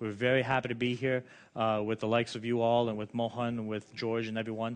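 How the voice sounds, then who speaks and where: A man speaks very fast at a medium pitch. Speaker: education business owner and tutoring association representative. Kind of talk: conference presentation. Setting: conference with translators.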